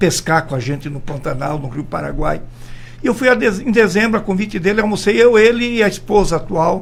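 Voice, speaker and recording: A man's high-pitched, lively voice at a fairly quick pace, with audible room echo. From Brazil, Mato Grosso do Sul. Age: 70s. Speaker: politician. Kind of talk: radio interview. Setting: radio studio.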